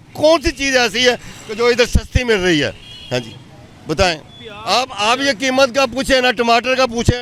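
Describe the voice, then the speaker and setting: A man speaks at an extremely high pitch with ordinary pitch variation and a moderate pace. Crowd noise fills the background. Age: 60s. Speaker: man on the street, citizen. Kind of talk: street interview. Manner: animated, indignant.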